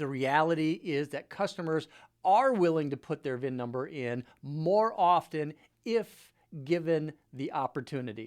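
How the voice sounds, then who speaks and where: A man's normal speaking voice, fairly high in pitch, with lively intonation, in a very clean recording against a silent background. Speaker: car dealership technology company CEO. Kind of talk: product demo narration, screen-share presentation. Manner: casual, conversational.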